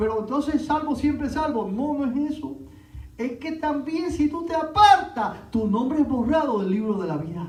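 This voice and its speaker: A man's extremely high-pitched voice with lively intonation at a moderate pace, amid noticeable background noise and audible room echo. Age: 60s. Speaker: pastor. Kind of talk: sermon.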